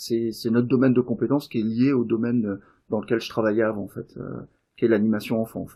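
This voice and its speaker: This man's medium-pitched voice moves at a fairly quick pace in a monotone, flat intonation, with big swings in loudness. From Davos. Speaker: game designer and event organiser. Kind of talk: casual interview. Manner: hesitant, many fillers.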